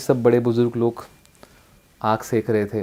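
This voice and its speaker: A man's voice carries a dark, mellow tone. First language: Marathi (also Bhili, Ahirani) (speaking Hindi). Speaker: district collector, civil servant. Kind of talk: motivational life story talk.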